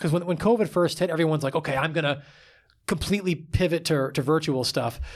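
Here is a plain, everyday voice with an American accent at a fairly quick pace. The recording is very clean, with a silent background. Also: man. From New York, Long Island. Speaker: physical therapist and former military rescueman. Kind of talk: interview. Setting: studio, in person. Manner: casual, frequent filler words.

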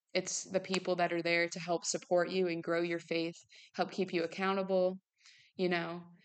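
Against a quiet background, a woman with a fairly low pitch talks at a moderate pace in a monotone, flat intonation. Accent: Midwestern American. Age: 19. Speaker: podcast host. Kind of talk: casual faith talk monologue.

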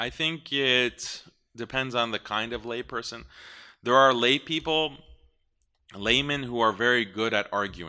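A man with an American accent speaks at a fairly slow pace in a bright, sharp tone, with ordinary pitch variation. Long, frequent pauses break up his speech against a quiet background. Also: medium pitch for a man. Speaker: Islamic speaker on ideology. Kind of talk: live talk with Q&A. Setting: live event with audience.

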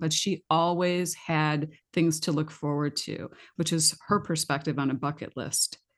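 A woman with a normal speaking voice talks at a moderate pace against a quiet background. Her pitch is fairly low for a woman, with ordinary variation.

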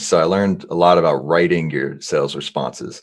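An American accent marks this voice. It belongs to a man. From New Jersey / New York area. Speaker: sales executive, company co-founder. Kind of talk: casual interview.

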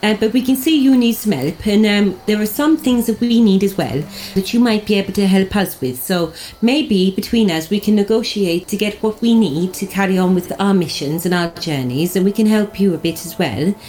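At a moderate pace, a woman speaks at medium pitch in a dark, mellow, somewhat breathy tone with lively intonation. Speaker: tabletop role-playing game player. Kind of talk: casual chat.

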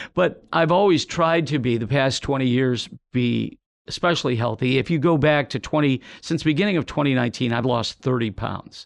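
An unremarkable speaking voice, with ordinary pitch variation, moves at a fairly quick pace over a quiet background. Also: man, medium pitch for a man. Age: 60s. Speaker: TV meteorologist. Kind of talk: casual interview.

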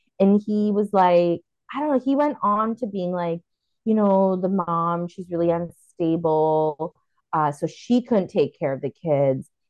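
This woman's voice sits fairly low in pitch. She speaks at a fairly slow pace with lively intonation. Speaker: podcast host. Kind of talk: casual chat. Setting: video call. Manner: animated.

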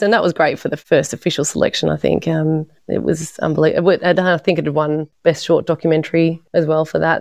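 A woman with an Australian accent talks at a very fast pace with hardly any pauses, her very deep, low pitch carrying vocal fry. Her intonation is monotone and flat, and the sound is dry and close with no echo. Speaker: documentary filmmaker. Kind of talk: interview.

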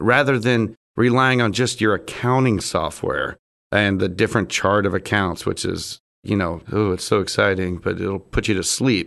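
A man with an ordinary speaking voice and ordinary pitch variation, at a moderate pace against a quiet background. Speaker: business owner, supply distributor. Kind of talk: casual business interview. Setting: studio.

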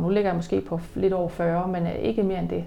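Audible room echo accompanies a woman talking fairly quickly at a medium pitch. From Jutland, Denmark. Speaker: personal trainer and business owner. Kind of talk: interview. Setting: at her bakery and fitness business.

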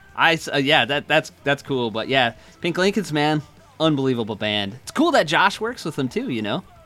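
Using an unremarkable speaking voice, a man with a fairly high pitch talks at a moderate pace with lively intonation. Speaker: podcast host. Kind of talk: casual chat. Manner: casual, laughs often.

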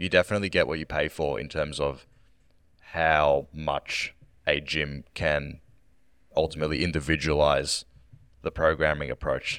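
A man with a very deep, low pitch and vocal fry speaks in a monotone, flat intonation at a moderate pace, with long, frequent pauses, on a very clean recording with a silent background. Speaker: senior fitness coach.

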